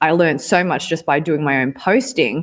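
With a normal speaking voice, a woman talks at a moderate pace and a fairly low pitch, her intonation lively. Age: young. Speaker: digital agency founder. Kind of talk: interview.

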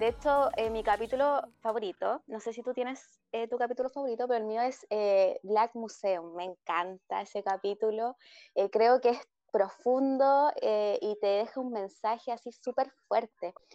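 A woman at a fairly high pitch, fairly slow pace, and ordinary pitch variation, in a dry, close sound with no echo. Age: 20s. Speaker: podcast co-host. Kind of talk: casual chat. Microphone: choppy connection.

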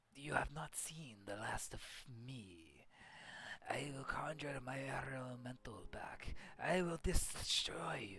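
Whispering in a put-on character voice at a fairly slow pace. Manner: threatening.

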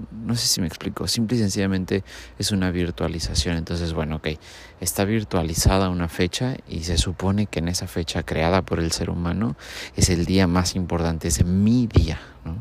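Moderate pace and ordinary pitch variation, in a Mexican accent. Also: man. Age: 30s. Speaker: podcaster. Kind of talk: casual monologue.

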